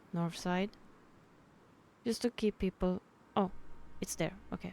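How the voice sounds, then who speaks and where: Dry and close with no echo, a woman's dark, mellow voice moves at a fairly slow pace with fairly even intonation. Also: medium pitch for a woman. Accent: Swedish. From Sweden. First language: Swedish. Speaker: gamer. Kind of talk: game tutorial commentary. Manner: casual.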